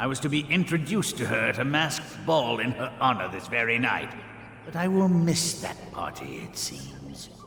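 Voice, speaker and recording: A man does a put-on character voice at medium pitch with lively intonation and a moderate pace. Clear background noise and a slight echo are heard. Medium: video game. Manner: haughty, theatrical.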